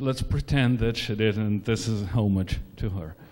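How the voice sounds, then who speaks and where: There is audible room echo around the voice. The man talks with ordinary pitch variation. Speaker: conference speaker. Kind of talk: lecture. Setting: stage with audience. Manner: hesitant, many fillers.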